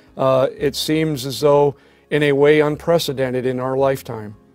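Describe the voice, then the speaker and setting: Faint music plays behind a man who speaks fairly slowly with fairly even intonation, the sound dry with no echo. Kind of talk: prayer and reflection. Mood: solemn, reverent. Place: office.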